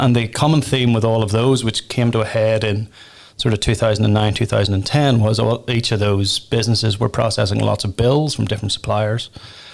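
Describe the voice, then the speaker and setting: A man with a Northern Irish accent and vocal fry speaks at a fairly quick pace, with a medium pitch and fairly even intonation. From Northern Ireland. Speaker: tech company founder and pub owner. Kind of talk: podcast interview.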